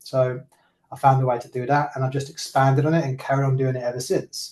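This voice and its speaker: At a fairly quick pace, a man with a medium pitch sounds somewhat breathy and keeps a monotone, flat intonation. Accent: British. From England. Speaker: real estate broker. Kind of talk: interview. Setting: video call.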